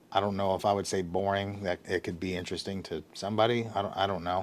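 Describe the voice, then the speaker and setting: A man speaks at a fairly low pitch with fairly even intonation in a very clean recording over a silent background. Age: 30s. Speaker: vlogger, content creator. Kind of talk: casual vlog monologue. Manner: monotone; halting, many fillers.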